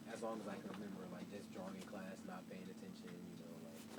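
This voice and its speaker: There is noticeable background noise and audible room echo as a man speaks with an American accent. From Chicago, South Side. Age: 20s. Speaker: visual artist and designer. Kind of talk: casual interview. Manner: hesitant, many fillers.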